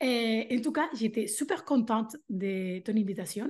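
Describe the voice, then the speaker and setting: A woman's fairly high voice with a Spanish accent. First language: Spanish (speaking French). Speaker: language teacher and mentor for teachers. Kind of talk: interview. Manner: animated.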